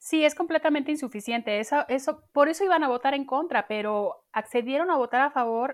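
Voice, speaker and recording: Against a silent background in a very clean recording, a woman talks at a fairly quick pace with hardly any pauses. Her pitch is high, with ordinary pitch variation. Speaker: podcast host. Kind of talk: casual chat.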